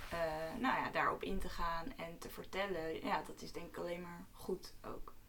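A woman talks at a fairly slow pace in a fairly low pitch with ordinary pitch variation and big swings in loudness, amid audible room echo and noticeable background noise. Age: 20s. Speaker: medical student. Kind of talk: casual chat.

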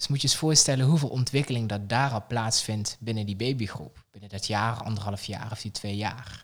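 At a moderate pace, a man talks in a medium pitch with ordinary pitch variation and big swings in loudness. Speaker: childcare pedagogical coach. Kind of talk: casual interview. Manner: animated.

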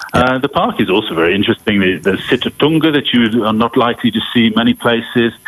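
With noticeable background noise behind him, a man talks at a fairly quick pace in a medium pitch. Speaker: safari expert. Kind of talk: interview. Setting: remote call.

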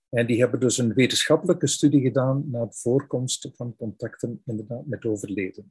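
A somewhat breathy man with a Flemish accent, at a fairly quick pace with ordinary pitch variation, in a dry, close sound with no echo. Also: medium pitch for a man. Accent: Flemish Dutch. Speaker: founder of a spirituality website, interviewer. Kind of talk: interview. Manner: halting.

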